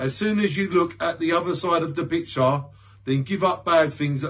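A man talks at a moderate pace in a fairly high, warm voice with ordinary pitch variation. The background is quiet. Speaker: poet and video creator. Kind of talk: spoken word poetry. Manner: introspective, rhythmic, earnest delivery; reflective, warm sign-off. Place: home room. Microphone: phone near.

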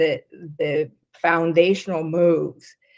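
A woman is heard over a quiet background. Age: 60s. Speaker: business consultant; interview guest. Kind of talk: casual chat. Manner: halting. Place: home room. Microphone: video call.

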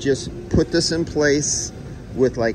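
A man speaks with fairly even intonation over noticeable background noise. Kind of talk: casual work commentary. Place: garage. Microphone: phone near.

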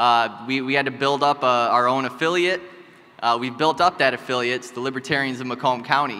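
A man's medium-pitched, normal speaking voice with fairly even intonation. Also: fairly quick pace. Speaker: party chair candidate. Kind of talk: debate speech. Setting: stage with audience. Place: hall. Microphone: podium.

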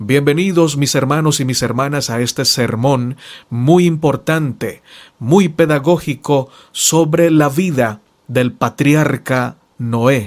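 On a very clean recording with a silent background, a man speaks very slowly in a fairly high pitch with ordinary pitch variation. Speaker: preacher.

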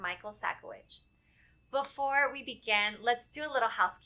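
At a moderate pace, a woman speaks with a bright, sharp tone and lively intonation. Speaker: webinar moderator. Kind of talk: formal announcements. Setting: video call. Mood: friendly, upbeat. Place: studio. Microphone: studio mic.

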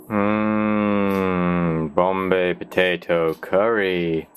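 A man's very deep, low voice in a monotone, flat intonation, with music in the background. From Britain. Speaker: vlogger. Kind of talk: casual daily vlog talk to camera. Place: home room. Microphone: webcam.

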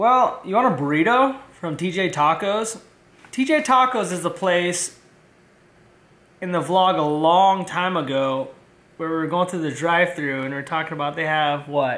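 Pitched high, a man speaks at a moderate pace with lively intonation. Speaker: vlogger. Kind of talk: casual vlog chat. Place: home room. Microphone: phone near.

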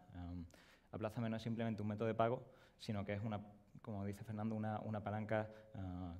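Talking at a very fast pace, a man has a Sevillian accent. His fairly low pitch and dark, mellow tone come with monotone, flat intonation. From Seville, Spain. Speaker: product designer. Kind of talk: conference presentation. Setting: stage with audience. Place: stage.

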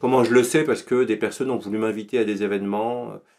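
A plain, everyday voice moves at a fairly quick pace with fairly even intonation against a quiet background. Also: man. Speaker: podcast guest. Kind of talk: interview answer. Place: home room. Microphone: studio mic.

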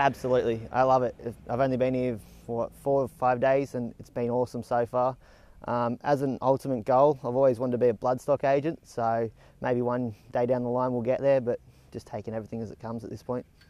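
A man with an Australian accent races along at a very fast pace in a medium-pitched, dark, mellow monotone, his loudness swinging widely, the sound dry with no echo. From Tamworth, New South Wales, Australia; New South Wales, Australia. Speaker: horse stud trainee. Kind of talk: interview; interview answer. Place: farm machine.

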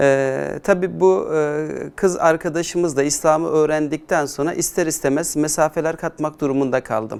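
This man has an unremarkable speaking voice, fairly high in pitch with ordinary pitch variation. He talks at a moderate pace in a very clean recording with a silent background. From Turkey, Adana. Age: 40s. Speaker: Islamic educator. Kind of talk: conversion testimony interview.

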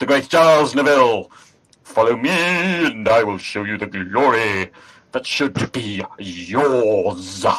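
At a fairly slow pace, a man uses a put-on character voice at medium pitch. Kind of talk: theatrical speech. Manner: grandiose, persuasive.

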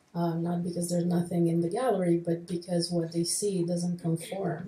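This woman's fairly low voice stays in a flat monotone. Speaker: gallery director and moderator. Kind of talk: panel moderation. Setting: stage with audience.

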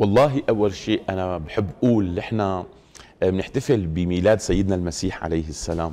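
A man speaks at a moderate pace in a very deep, low pitch, with ordinary pitch variation. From Syria, Damascus. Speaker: Islamic scholar, mufti committee head; guest. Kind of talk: TV studio interview on religion; interview answer. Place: studio. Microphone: lapel.

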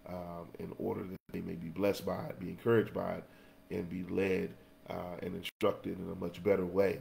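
Very deep, low pitch from a man at a moderate pace, with light background noise. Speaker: Sunday school teacher. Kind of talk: lesson introduction and prayer. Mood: earnest, prayerful. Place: home room. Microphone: webcam.

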